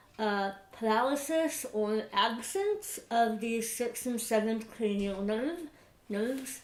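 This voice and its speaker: A woman at a very slow pace, her pitch fairly high, with audible room echo and noticeable background noise. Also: ordinary pitch variation. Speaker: vlogger. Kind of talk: personal vlog update. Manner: hesitant, many fillers.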